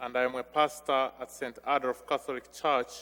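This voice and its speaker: This man talks at a fairly slow pace with a Ugandan accent and a medium pitch. His tone is bright and sharp, and his intonation stays monotone and flat. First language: non-English (Ugandan language). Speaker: visiting missionary priest. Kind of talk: homily. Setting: church during Mass.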